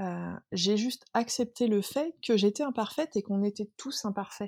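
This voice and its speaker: Recorded very cleanly against a silent background, a woman speaks at a fairly slow pace with ordinary pitch variation, the sound dry and close with no echo. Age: 30s. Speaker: workplace wellbeing consultant and speaker. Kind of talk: casual interview. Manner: halting with many repetitions.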